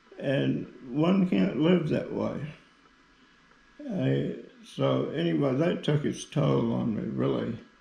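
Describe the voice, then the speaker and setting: Amid audible room echo, a man speaks at a very slow pace with long, frequent pauses. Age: 80s+. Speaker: Parkinson's patient giving product testimonial. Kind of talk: testimony. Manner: halting, with frequent fillers.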